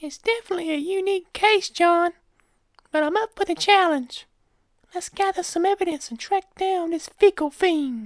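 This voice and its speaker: A squeaky, put-on character voice with ordinary pitch variation. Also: woman, extremely high pitch for a woman, moderate pace. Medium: read story. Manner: light, wry.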